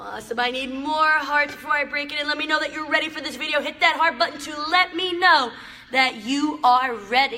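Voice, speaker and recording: Raising and projecting her voice, a woman talks at a fairly quick pace with ordinary pitch variation over noticeable background noise. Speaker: motivational live streamer. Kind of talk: live stream talk to viewers. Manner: loud; animated.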